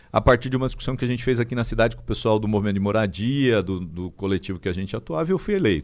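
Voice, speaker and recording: The recording is very clean with a silent background as a man speaks with lively intonation. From interior of São Paulo state (Araraquara). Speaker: state legislator and history teacher. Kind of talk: casual political interview.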